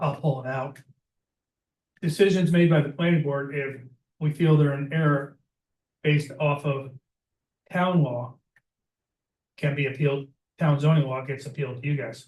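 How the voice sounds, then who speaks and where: Pausing long and often, a man with a fairly high, somewhat breathy voice talks with fairly even intonation. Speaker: applicant at town meeting. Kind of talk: public meeting debate. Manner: fast.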